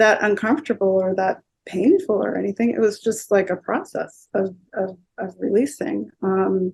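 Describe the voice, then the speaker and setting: A woman speaks at medium pitch and a moderate pace, with ordinary pitch variation. Her voice has vocal fry. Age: 60s. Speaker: energy healer. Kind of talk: interview. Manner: halting, many filler words.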